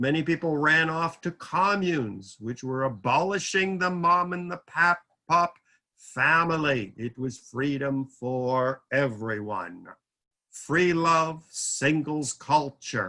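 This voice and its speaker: With a bright, sharp tone and lively intonation, a man speaks very slowly at a fairly high pitch. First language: French. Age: 70s. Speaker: lecturer. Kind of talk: lecture. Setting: video call.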